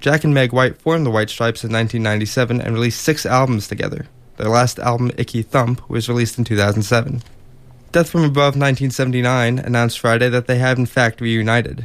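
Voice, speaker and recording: A man talks at a medium pitch and a moderate pace, with fairly even intonation. It is a normal speaking voice. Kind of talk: radio newsreading, music news segment. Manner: brisk, formal, even broadcast delivery.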